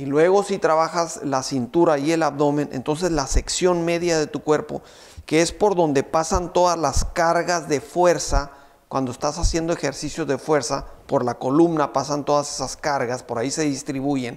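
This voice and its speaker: A man at a moderate pace, fairly even intonation, quiet background. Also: fairly high pitch for a man. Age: 50s. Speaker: fitness trainer. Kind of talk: tutorial. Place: studio. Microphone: lapel.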